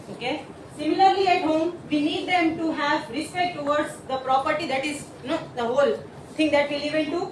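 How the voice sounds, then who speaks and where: Against noticeable background noise and audible room echo, a woman speaks fairly quickly at a high pitch with ordinary pitch variation. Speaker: teacher. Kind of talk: presentation.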